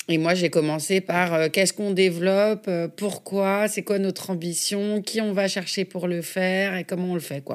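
At a moderate pace, a woman of medium pitch speaks with monotone, flat intonation. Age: 40s. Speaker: film and TV producer. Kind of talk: interview conversation. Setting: office.

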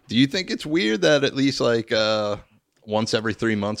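With an American accent, a man talks at a fairly quick pace in an ordinary speaking voice, medium-pitched with lively intonation, on a very clean recording with a silent background. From Philadelphia area, US. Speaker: podcast host. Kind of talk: casual chat. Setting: studio.

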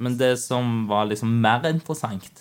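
At a fairly slow pace, a man with a plain, everyday voice speaks with fairly even intonation in a very clean recording with a silent background. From Norway. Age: 20s. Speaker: IT project manager. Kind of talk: interview.

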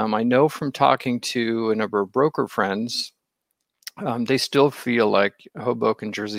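Recorded dry and close with no echo, a man talks at a moderate pace in an ordinary speaking voice, his pitch medium and his intonation fairly even. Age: middle-aged. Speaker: real estate agent and online show host. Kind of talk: casual chat. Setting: live online video stream.

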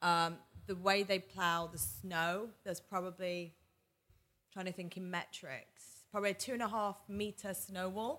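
Fairly slow and fairly even in intonation, a woman's medium-pitched voice has a bright, sharp tone. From northern England, Manchester. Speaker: startup founder and CEO. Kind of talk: interview conversation.

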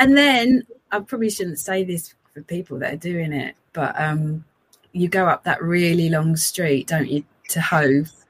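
At a fairly slow pace, a woman speaks with a fairly low pitch in a somewhat breathy voice. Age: 50s. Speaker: amateur runner. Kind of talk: casual chat.

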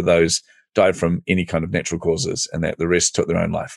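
Very fast speech from a man with a New Zealand accent, the sound dry and close with no echo. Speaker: entrepreneurial coach. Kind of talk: podcast interview.

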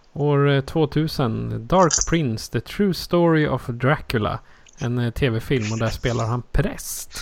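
A man's fairly high voice, very slow in pace, with ordinary pitch variation. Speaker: podcast host. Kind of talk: casual chat.

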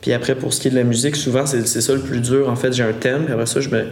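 A man's monotone, flat delivery, with audible room echo and noticeable background noise. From Quebec, Montérégie countryside. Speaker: singer-songwriter. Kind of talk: casual interview.

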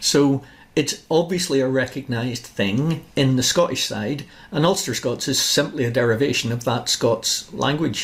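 With lively intonation and a somewhat breathy quality, a man speaks at a moderate pace and a fairly high pitch. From Northern Ireland, Larne. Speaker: podcast host, author. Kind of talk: interview.

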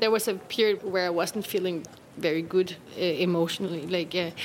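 Noticeable background noise sits behind a woman speaking with a Danish accent. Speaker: actress. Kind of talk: personal testimony.

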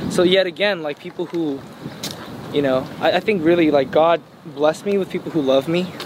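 Over noticeable background noise, a man with an American accent talks at a fairly quick pace in a high pitch, his intonation fairly even. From Los Angeles, California. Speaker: singer. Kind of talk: casual interview. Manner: hesitant, many fillers.

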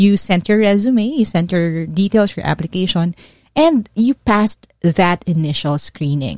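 With a Filipino accent, a woman speaks at a fairly slow pace and medium pitch, her intonation lively. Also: dry, close sound with no echo. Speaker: career coach. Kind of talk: coaching podcast monologue. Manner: code-switching Taglish.

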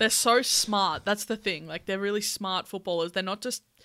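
On a very clean recording with a silent background, a woman with an Australian accent speaks in an upbeat, bright, sharp tone. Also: dry, close sound with no echo. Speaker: podcast host. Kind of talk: casual chat. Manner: laughs often, upbeat.

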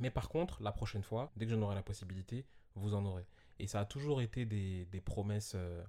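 A man speaks fairly quickly in a dark, mellow, somewhat breathy tone. The recording is very clean, with a silent background. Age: 20s. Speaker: podcast guest, host's friend. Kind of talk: casual chat.

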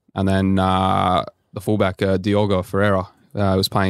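In an Australian accent, a man speaks at a moderate pace with a very deep, low pitch and flat, monotone intonation. The recording is very clean, with a silent background and a dry, close sound with no echo. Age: 20s. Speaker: professional footballer. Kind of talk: casual chat.

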